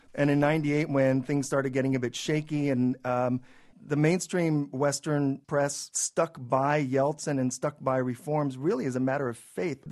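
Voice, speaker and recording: A man with a fairly high-pitched voice speaks with fairly even intonation. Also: moderate pace. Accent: West Coast. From California, San Jose. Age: 40s. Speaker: journalist and newspaper founder. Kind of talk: radio interview.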